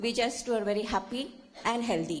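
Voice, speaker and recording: A fairly high-pitched woman speaks at a moderate pace. Audible room echo surrounds her voice. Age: 70s. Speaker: audience member at a conference. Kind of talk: audience comment at a conference.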